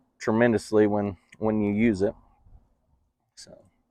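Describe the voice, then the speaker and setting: A man with a West Texas accent speaks in a fairly low, monotone voice with flat intonation, the sound dry and close with no echo over a quiet background. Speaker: farmer and product dealer. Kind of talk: interview. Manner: halting, many fillers.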